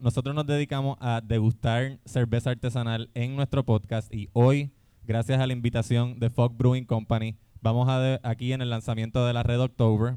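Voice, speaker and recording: Fairly quick speech from a man with a normal speaking voice and medium pitch. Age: 30s. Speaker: podcast host. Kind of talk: live comedy podcast before audience. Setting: brewery stage with live audience.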